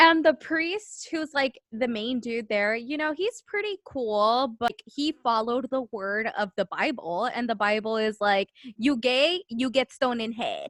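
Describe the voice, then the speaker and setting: Her high-pitched voice moves with lively intonation at a fairly slow pace, with hardly any pauses. The woman's sound is dry and close, with no echo. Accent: American. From Southern California. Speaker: podcast host. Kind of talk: casual chat.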